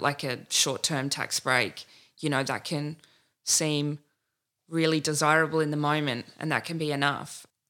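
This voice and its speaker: In an Australian accent, a woman with a very deep, low pitch and a bright, sharp tone speaks at a moderate pace in monotone, flat intonation, on a very clean recording with a silent background. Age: 30s. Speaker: political candidate. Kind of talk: interview.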